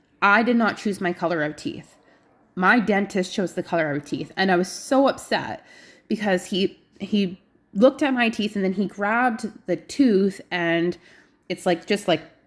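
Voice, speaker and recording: On a very clean recording with a silent background, a woman talks at a moderate pace in a medium pitch with ordinary pitch variation. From British Columbia, Canada. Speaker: health vlogger. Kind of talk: casual vlog update.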